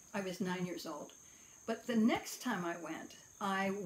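In an American accent, a woman with a medium-pitched, somewhat breathy voice talks with ordinary pitch variation over light background noise. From US West, Idaho. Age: 70s. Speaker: astrologer and philosopher. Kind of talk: personal monologue vlog. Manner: halting, many fillers. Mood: calm, reflective. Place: home room. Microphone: phone near.

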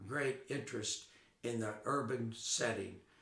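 A man with an American accent, speaking at a fairly slow pace, with audible room echo. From US South, western North Carolina mill town (born Chicago). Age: 80s+. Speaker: retired Episcopal priest. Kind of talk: oral history interview. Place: home room.

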